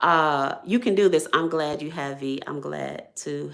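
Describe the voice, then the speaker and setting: A woman with an American accent uses lively intonation and vocal fry. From Ohio, US. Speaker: YouTuber, small business owner. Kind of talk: live stream chat. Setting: live stream at home. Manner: occasional stutter-like hesitations from stroke; repetitive, animated.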